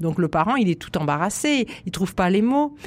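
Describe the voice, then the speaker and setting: A fairly quick delivery from a woman at a medium pitch. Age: 60s. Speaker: psychoanalyst and author. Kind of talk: radio interview. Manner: animated.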